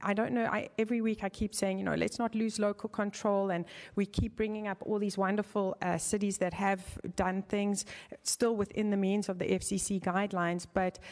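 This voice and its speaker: In a South African accent, a woman speaks at a medium pitch. Her pace is moderate and her intonation fairly even. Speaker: member of the public giving comment. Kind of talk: public comment at city council meeting. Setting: city council chamber. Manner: halting, with many fillers.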